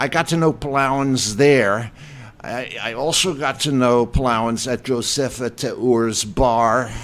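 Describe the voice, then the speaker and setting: At a very slow pace, a man with a medium-pitched voice speaks in fairly even intonation. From US, German-speaking immigrant family. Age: 70s. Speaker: writer and journalist. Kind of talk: radio interview. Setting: radio studio.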